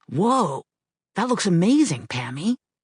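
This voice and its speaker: This is a put-on character voice at a middle pitch. It moves at a fairly slow pace with very wide pitch swings. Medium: read story.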